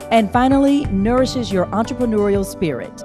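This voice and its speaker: A woman talking at a moderate pace, with music in the background. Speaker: infomercial announcer and show host. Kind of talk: TV shopping channel promo announcer read. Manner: upbeat, salesy.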